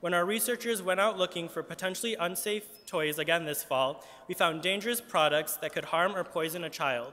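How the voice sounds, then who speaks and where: A man with a bright, sharp tone and a high pitch speaks at a moderate pace, with ordinary pitch variation. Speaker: advocacy group spokesperson. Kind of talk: press conference statement. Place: hall. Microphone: podium.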